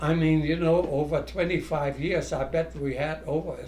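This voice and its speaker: A man with a German accent talks at a fairly slow pace amid audible room echo. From Germany. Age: 90s. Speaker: scout leader. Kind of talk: reminiscing interview.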